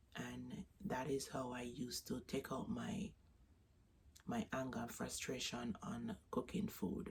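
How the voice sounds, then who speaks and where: A woman speaks at a very slow pace. She has a Jamaican accent. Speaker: vlogger. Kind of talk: casual vlog talk. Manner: halting.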